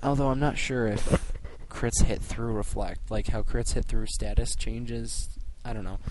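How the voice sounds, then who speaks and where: Audible room echo follows a man who speaks at a moderate pace. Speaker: gaming commentator. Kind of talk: gameplay commentary.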